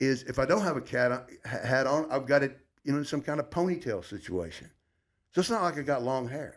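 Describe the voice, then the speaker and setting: A man with an American accent talks in a normal speaking voice at a fairly quick pace. His fairly high pitch carries lively intonation on a very clean recording with a silent background. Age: 60s. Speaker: former sports radio host. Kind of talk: casual chat.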